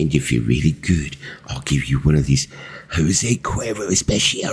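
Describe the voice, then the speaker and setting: A man puts on a character voice in a Cockney accent, very deep and low in pitch, at a moderate pace. Light background noise can be heard. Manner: playful.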